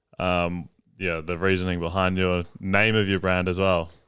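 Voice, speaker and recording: With an Australian accent, a man with a very deep, low voice and a bright, sharp tone speaks at a fairly slow pace in a monotone, flat way on a very clean recording with a silent background. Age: 20s. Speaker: podcast host. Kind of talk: interview.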